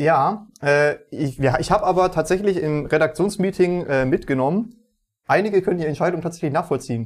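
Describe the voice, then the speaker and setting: A man's high-pitched voice at a fairly quick pace, ordinary pitch variation, on a very clean recording with a silent background. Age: 20s. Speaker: games journalist and podcast co-host. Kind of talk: casual chat.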